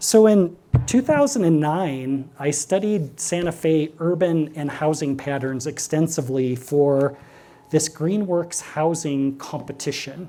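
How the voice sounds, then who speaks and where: In a Midwestern accent, a man talks at a fairly slow pace. His pitch is fairly high, with ordinary variation. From Nebraska, US Midwest. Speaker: architect and urban planner. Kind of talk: public lecture.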